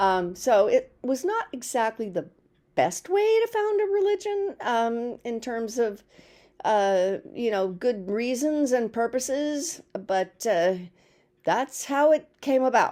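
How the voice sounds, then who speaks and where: A woman speaks very slowly in a high, dark and mellow voice with very wide pitch swings. The recording is very clean, with a silent background. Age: 70s. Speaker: video blogger. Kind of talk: casual monologue. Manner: halting, many fillers.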